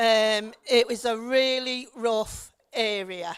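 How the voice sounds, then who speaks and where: Speaking at a very slow pace, a woman has a fairly high voice and a Liverpool accent. Her intonation stays fairly even. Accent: Liverpool (Scouse). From Liverpool, England. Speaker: local councillor. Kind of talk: public talk. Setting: stage with audience.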